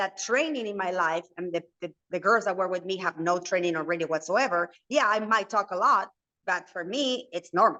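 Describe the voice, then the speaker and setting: This woman talks at a fairly quick pace in a Spanish accent, her medium-pitched voice bright and sharp in tone. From Argentina, Buenos Aires. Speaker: reality TV personality and entrepreneur. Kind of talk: interview. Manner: talkative, fast.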